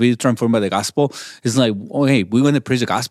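A man speaks with a Mexican accent and ordinary pitch variation. The recording is very clean, with a silent background. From Mexico, Chihuahua. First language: Spanish. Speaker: pastor. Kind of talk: interview. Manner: halting.

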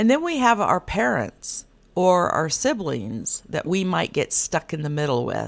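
A woman's medium-pitched, ordinary speaking voice at a fairly slow pace, in a very clean recording with a silent background. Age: middle-aged. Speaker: podcast host and life coach. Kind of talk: solo podcast monologue.

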